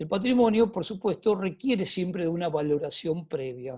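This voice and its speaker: This man's voice is high in pitch with a dark, mellow tone, lively intonation and a moderate pace. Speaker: cultural heritage speaker. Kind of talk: webinar talk. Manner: halting, repeats words.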